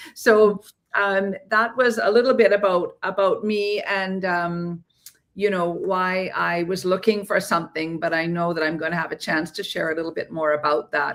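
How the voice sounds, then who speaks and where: Speaking at a moderate pace with a Canadian accent, a woman has a normal speaking voice, medium pitch and ordinary pitch variation. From Canada, Ontario. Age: 60s. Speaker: entrepreneur. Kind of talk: interview. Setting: livestream.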